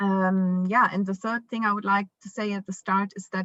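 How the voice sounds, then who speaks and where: A woman's medium-pitched voice in a German accent, with a dry, close sound and no echo. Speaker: parent, foundation founder. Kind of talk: conference panel talk. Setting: virtual conference video call. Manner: halting, many fillers.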